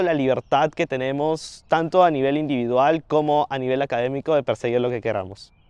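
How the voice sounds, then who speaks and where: Speaking with a Peruvian accent, a man with a fairly high pitch and ordinary pitch variation talks at a moderate pace in a dry, close sound with no echo. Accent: Peruvian Spanish (Lima). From Peru, Lima. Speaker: university student. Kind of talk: interview Q&A. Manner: hesitant fillers.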